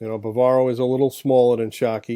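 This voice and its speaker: A man talks in a dark, mellow tone at a mid-range pitch. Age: 50s. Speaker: podcast co-host, former football insider. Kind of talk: casual sports chat.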